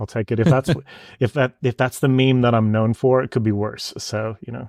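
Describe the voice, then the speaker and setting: In a very clean recording with a silent background, a man with a Denver accent speaks at a medium pitch and a moderate pace, his intonation fairly even. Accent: American (Denver). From US, Denver. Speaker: photographer. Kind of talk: interview.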